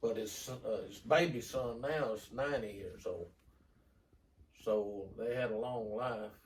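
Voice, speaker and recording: Somewhat breathy and fairly even in intonation, the voice carries a Southern US accent, with audible room echo. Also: man. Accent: Southern US rural. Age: 70s. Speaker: grandfather interviewee. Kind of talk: reminiscing. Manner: halting.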